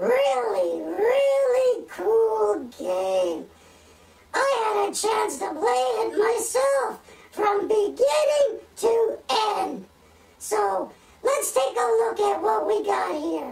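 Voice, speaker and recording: In a put-on character voice, the speaker talks at a very slow pace with a high pitch. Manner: excitable, easily amazed.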